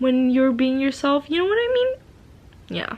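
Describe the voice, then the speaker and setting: A woman's voice with a slight non-native accent. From Asia. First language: not English. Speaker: vlogger. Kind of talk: casual monologue. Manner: slurring, stuttering; halting, many fillers.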